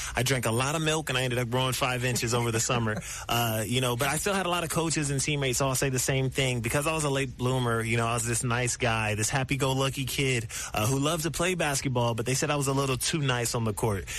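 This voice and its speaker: A man at a very fast pace with hardly any pauses, medium pitch, ordinary pitch variation and very even loudness, with audible room echo and music in the background. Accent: American. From US Midwest, Columbus, Ohio. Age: 20s. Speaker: professional basketball player. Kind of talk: radio interview.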